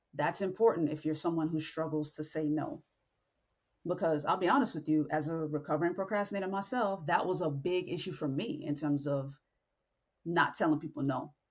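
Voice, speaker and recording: Her voice sits fairly low, with ordinary pitch variation, as this woman talks at a fairly quick pace. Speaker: podcast host. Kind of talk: motivational talk. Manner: blunt.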